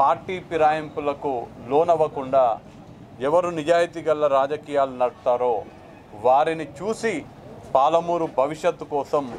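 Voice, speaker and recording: A man speaks with fairly even intonation at a fairly high pitch. His loudness stays very even over light background noise. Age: 30s. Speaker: parliamentary election candidate; candidate. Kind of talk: press statement to media. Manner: formal. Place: street.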